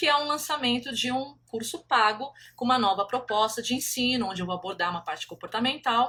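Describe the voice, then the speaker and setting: Raising and projecting her voice, a woman speaks fairly quickly at a high pitch with lively intonation and a bright, sharp tone. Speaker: country painting teacher. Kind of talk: live stream talk. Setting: Instagram live.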